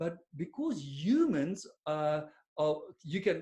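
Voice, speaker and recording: Speaking with an Afrikaans accent, a man uses a high pitch. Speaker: business coach. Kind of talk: webinar presentation. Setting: online webinar. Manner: casual, with many fillers.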